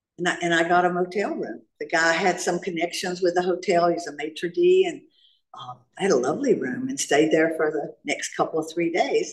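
The speaker has a Southern US accent and moves at a fairly quick pace with ordinary pitch variation. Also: woman, fairly low pitch for a woman. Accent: Southern US, noticeable. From US South (North Carolina). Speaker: recovering alcoholic speaker. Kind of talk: AA share/testimony. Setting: stage with audience at meeting.

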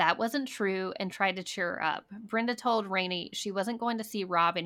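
The voice is a natural reading voice.

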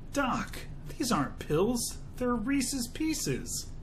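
A female-sounding, put-on character voice, high in pitch for a woman, moves at a fairly slow pace. Background noise is clearly audible. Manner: joking.

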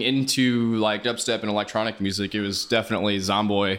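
A man with a Midwestern American accent on a very clean recording with a silent background. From Kansas City area (Johnson County, Kansas). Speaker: drum and bass DJ. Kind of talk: casual interview.

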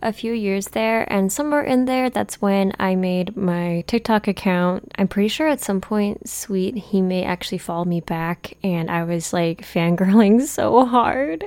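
A woman speaks at a medium pitch and a fairly slow pace with ordinary pitch variation, hardly any pauses, and a very clean recording over a silent background. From US (fourth-generation Japanese American). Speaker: podcast host. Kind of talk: casual solo talk. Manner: animated.

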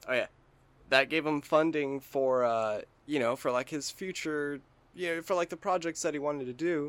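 A man speaks at a moderate pace in an ordinary speaking voice, his fairly high pitch moving with ordinary variation. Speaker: podcast co-host, gamer. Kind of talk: casual banter, comedic chat. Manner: casual, jokey, profane.

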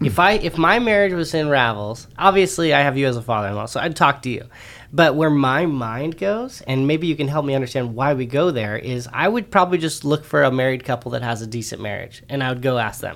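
With an ordinary speaking voice, a man talks at a fairly quick pace with hardly any pauses, using a fairly high pitch and lively intonation. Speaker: co-host. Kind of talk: casual chat.

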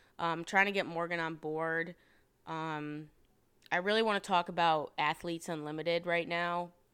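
A woman with an American accent speaks in a bright, sharp tone. Her pitch is fairly low and her intonation is monotone and flat. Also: moderate pace, very clean recording, silent background. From upstate New York (Rochester). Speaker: podcast host, former college lacrosse player. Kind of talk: casual solo monologue. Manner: casual, frequent filler 'um'.

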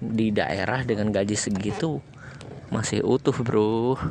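Over noticeable background noise, a man with a fairly low pitch speaks with fairly even intonation. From Lampung, Indonesia. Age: 20s. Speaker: podcast host. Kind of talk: casual monologue storytelling. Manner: casual, hesitant with fillers.

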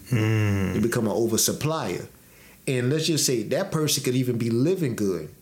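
Some room echo can be heard as a man talks at a medium pitch. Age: 30s. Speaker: podcast co-host. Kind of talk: casual chat.

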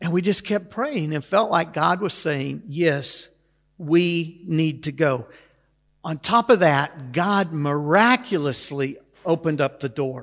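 This man's voice is fairly high, moving at a very slow pace with ordinary pitch variation. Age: 60s. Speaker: pastor. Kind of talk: sermon.

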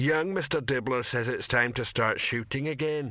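A man puts on a character voice at a medium pitch and moderate pace, in a very clean recording with a silent background. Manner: slow and ponderous.

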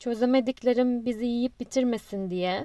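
A woman with a high pitch and a dark, mellow tone speaks at a fairly slow pace with ordinary pitch variation, the sound dry and close with no echo. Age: 30s. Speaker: podcaster. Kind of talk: personal monologue.

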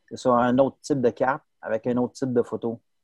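This is an unremarkable speaking voice. The intonation stays fairly even. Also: man, dry, close sound with no echo. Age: 40s. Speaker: sports photographer. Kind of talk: interview.

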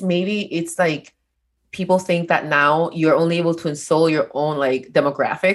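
A woman's fairly low voice with a non-native accent at a moderate pace against a quiet background. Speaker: podcast co-host.

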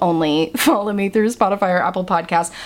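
With noticeable noise in the background, a woman talks fairly quickly. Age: 20s. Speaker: podcast host. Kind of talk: casual monologue. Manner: animated.

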